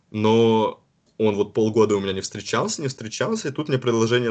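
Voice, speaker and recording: Speaking at a moderate pace, a man has an unremarkable speaking voice with medium pitch and ordinary pitch variation. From Karelia, northwest Russia. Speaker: university student. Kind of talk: casual interview.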